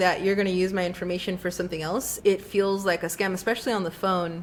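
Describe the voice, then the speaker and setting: This woman is soft-spoken. She talks at a moderate pace. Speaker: podcast co-host. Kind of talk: casual chat. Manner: soft consonants, unpopped T's.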